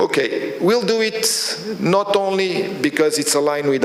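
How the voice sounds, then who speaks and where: Background noise can be clearly heard. Over it, a man talks with lively intonation. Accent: Portuguese. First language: Portuguese. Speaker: oil company executive. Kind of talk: speech at new year reception. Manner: halting.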